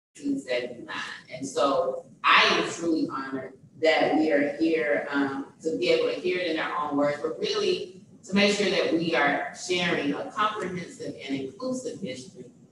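Over noticeable background noise and strong room echo, a woman with a fairly low voice talks at a moderate pace. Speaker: event host introducing panel. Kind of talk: formal introduction speech. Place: hall.

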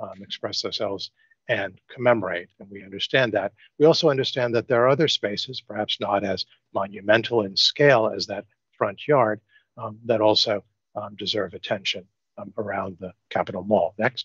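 A man with an American accent speaks at a moderate pace with ordinary pitch variation and big swings in loudness. The sound is dry with no echo, and the background is quiet. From New York. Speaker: architect. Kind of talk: design presentation. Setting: video call. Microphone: video call.

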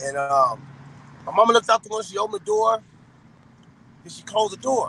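A man's raised, projected voice with lively intonation, at a fairly quick pace over light background noise. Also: dry sound with no echo. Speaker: interview guest. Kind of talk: interview answer. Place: car. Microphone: phone near.

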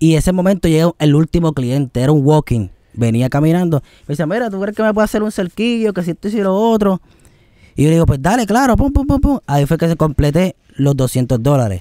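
Dark, mellow tone with very wide pitch swings at a fairly quick pace, dry with no echo against a quiet background. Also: man, high pitch for a man. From Puerto Rico. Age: 20s. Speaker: singer; guest. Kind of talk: interview. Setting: outdoors. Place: garden. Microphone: studio mic.

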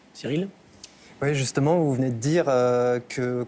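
A man talks in a normal speaking voice at a medium pitch with fairly even intonation. Light background noise can be heard. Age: 20s. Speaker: subscriber asking questions; talk show panelist. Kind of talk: interview questions. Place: studio.

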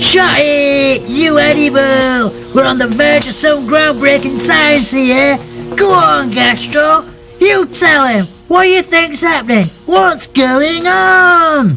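A cartoonish character voice at a fairly slow pace over clear music in the background. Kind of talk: comic puppet sketch. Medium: puppet show. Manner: brash, excitable, rude.

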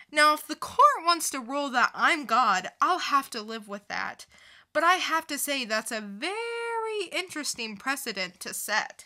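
A woman puts on a character voice that is high-pitched, bright and sharp. She speaks at a fairly slow pace with big pitch swings.

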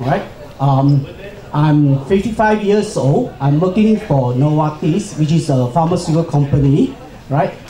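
Fairly slow speech from a man, amid light background noise and audible room echo. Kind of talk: personal talk at forum.

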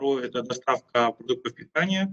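A man speaks at a fairly quick pace with ordinary pitch variation against a quiet background. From Kyrgyzstan. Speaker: startup entrepreneur; panelist. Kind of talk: panel discussion. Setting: video call. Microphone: video call.

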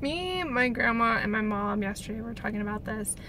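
There is noticeable background noise behind this woman, whose voice sounds dry with no echo. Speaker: vlogger. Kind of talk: casual vlog chat. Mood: reflective, a bit scattered. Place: car. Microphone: phone near.

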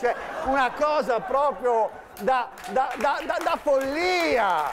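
A man talking at a very slow pace. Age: 50s. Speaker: comedian. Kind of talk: stand-up. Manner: animated. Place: stage. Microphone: lapel.

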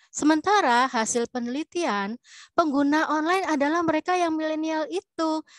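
A woman's extremely high pitch at a moderate pace, ordinary pitch variation, dry sound with no echo and a quiet background. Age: older, self-described older generation. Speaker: webinar participant, academic. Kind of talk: Q&A comment. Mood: light, joking. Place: home room. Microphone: video call.

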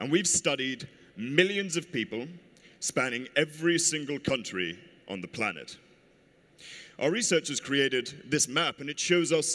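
Man at a moderate pace, bright, sharp tone, with vocal fry. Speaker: conference speaker. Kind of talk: presentation talk. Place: hall.

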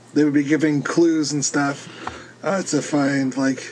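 Over noticeable background noise, a man speaks at medium pitch and a fairly slow pace. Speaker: podcast co-host. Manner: brief, to the point.

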